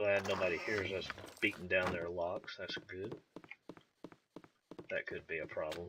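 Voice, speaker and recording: A man speaks in a strong Southern US accent with a relaxed tone. His pace is moderate, broken by long, frequent pauses. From US South, Georgia. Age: 30s. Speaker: gaming YouTuber. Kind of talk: let's play commentary. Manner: casual, relaxed.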